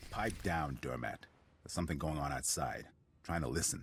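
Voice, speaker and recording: A man puts on a gruff character voice pitched very deep and low. He talks at a fairly quick pace. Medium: video game. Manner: gruff, brusque.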